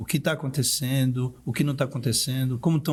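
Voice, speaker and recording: The recording is very clean, with a silent background. A man of medium pitch speaks at a moderate pace in a somewhat breathy voice. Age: 60s. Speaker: art director and luxury event producer. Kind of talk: podcast interview.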